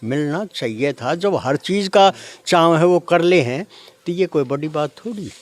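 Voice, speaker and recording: The recording has a dry, close sound with no echo, carrying a man's high-pitched voice with ordinary pitch variation. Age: 70s. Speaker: gaushala committee member. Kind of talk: interview.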